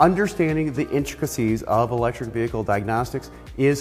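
At a fairly quick pace, a man talks while faint music sounds in the background. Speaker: automotive trainer. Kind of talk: lecture. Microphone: lapel.

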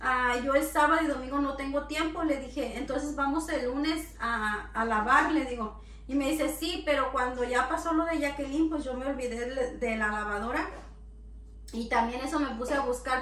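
The pace is moderate, with ordinary pitch variation. Room echo is audible. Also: woman. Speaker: home vlogger. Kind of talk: casual vlog chat. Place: kitchen.

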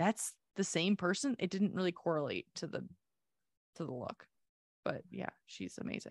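Her voice fairly low and touched with vocal fry, a woman talks at a moderate pace with lively intonation and long, frequent pauses. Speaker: podcast co-host. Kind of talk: casual chat. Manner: animated.

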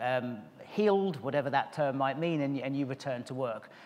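At a moderate pace, a man delivers his words. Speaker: conference speaker. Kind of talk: conference talk. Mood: warm, smiling, relaxed. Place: stage. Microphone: podium.

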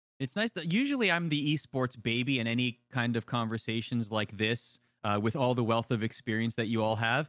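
Against a quiet background, a man talks with hardly any pauses and ordinary pitch variation, in a dry sound with no echo. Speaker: esports show host. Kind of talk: casual panel discussion. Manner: animated. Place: home room.

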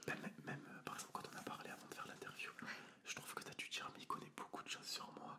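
Whispering and soft-spoken, a man hurries at a very fast pace beneath loud background noise. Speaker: interviewer or host. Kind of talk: interview conversation. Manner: soft whispered ASMR talk. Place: studio. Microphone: studio mic.

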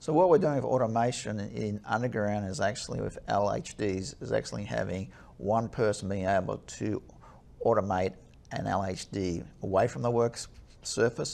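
With vocal fry in his fairly low voice, a man talks at a moderate pace with ordinary pitch variation. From Australia. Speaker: chief engineer. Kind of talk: webinar interview. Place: studio. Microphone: lapel.

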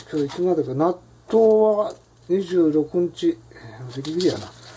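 Speaking at a high pitch and a very slow pace, a man leaves long, frequent pauses, his loudness swinging widely. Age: old. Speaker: vlogger. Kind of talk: casual cooking monologue. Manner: relaxed, self-talk with laughter. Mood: relaxed, reflective. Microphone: phone near.

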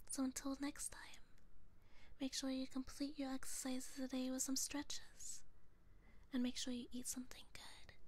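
The voice holds a monotone, flat intonation in a dry sound with no echo. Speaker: ASMR vtuber streamer. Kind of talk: guided motivation whisper, ASMR affirmations; ASMR roleplay as a demon character. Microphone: studio mic.

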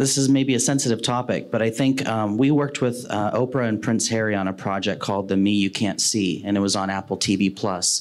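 A man talks at a moderate pace in an American accent, with lively intonation. He has a plain, everyday voice. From Ohio, US Midwest. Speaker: video production executive; panelist. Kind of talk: panel discussion. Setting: stage with live audience. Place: meeting room. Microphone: handheld.

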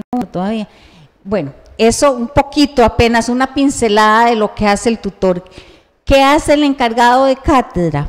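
A woman with an ordinary speaking voice, fairly high in pitch, with lively intonation at a moderate pace, against a quiet background. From Costa Rica. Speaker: university council candidate, tourism academic; council candidate. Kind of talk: campaign presentation at public forum. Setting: university centre hall, live-streamed. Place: classroom. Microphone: handheld.

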